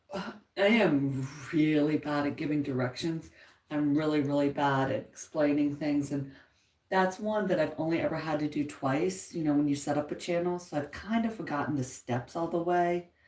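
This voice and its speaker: The speaker is soft-spoken, talking at a moderate pace with ordinary pitch variation. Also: woman, very deep, low pitch for a woman. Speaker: YouTube livestreamer, crafter. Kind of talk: casual live chat. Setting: at home, upstairs.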